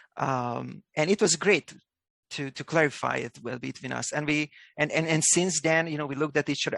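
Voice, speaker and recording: A man speaks in a Hungarian accent. His pitch is fairly high. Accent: non-native English, Hungarian. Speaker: company executive. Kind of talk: video call interview. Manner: thoughtful, pauses before answering.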